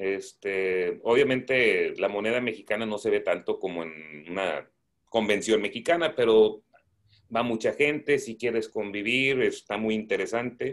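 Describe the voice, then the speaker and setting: A man speaking at a fairly slow pace against a quiet background. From Nuevo Laredo, Mexico (border, schooled in Laredo, Texas); Mexico. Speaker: coin collector; guest. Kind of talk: casual chat. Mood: relaxed, warm. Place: home room. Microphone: video call.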